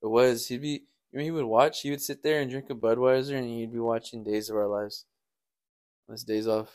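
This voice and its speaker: Medium-pitched male speech in an unremarkable speaking voice, fairly quick in pace and fairly even in intonation, on a very clean recording with a silent background. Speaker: co-host and partner.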